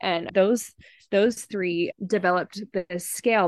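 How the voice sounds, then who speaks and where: A woman with an American accent speaks at a moderate pace and medium pitch, with vocal fry. Her pitch variation is ordinary, and the background is quiet. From Virginia/DC area, US, and Russia. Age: 30s. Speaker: researcher. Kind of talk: interview.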